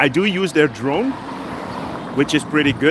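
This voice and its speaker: With noticeable background noise, a man with a Dutch accent speaks fairly slowly at a fairly high pitch with ordinary pitch variation. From Netherlands. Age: 50s. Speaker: travel vlogger. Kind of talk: live stream walking vlog, casual chat. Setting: outdoors, city street walk.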